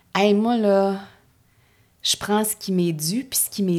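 A woman with a Quebec accent at a fairly slow pace, on a very clean recording with a silent background. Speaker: actress and character comedian. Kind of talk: casual chat. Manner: animated.

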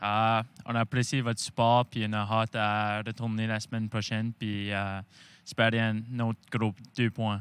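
On a very clean recording with a silent background, the voice stays monotone, its intonation flat. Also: man, medium pitch for a man, fairly slow pace. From Prince Edward Island. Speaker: junior hockey goalie. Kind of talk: casual interview. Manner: halting.

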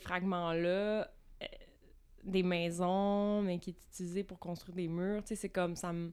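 Her pitch medium, a woman talks at a very slow pace. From Quebec, Vaudreuil-Dorion near Montreal. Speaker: visual artist. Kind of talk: casual interview. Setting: recording space with coffee.

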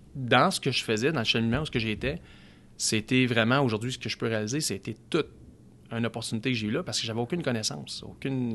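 This man talks at a very fast pace. His pitch is medium, with ordinary variation. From Quebec, Outaouais. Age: 30s. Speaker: car dealership sales director. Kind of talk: casual interview chat.

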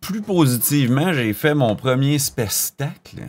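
The recording is very clean, with a silent background. A man is speaking. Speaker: podcast co-host and musician. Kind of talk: casual chat.

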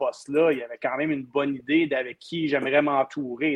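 The speaker is a man whose pitch sits fairly high. He keeps to a moderate pace. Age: 40s. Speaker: hockey commentator. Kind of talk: casual chat.

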